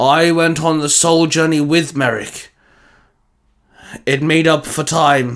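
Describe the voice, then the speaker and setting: Raspy put-on character voice from a man, unhurried and fairly slow. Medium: read story. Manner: formal, measured, solemn.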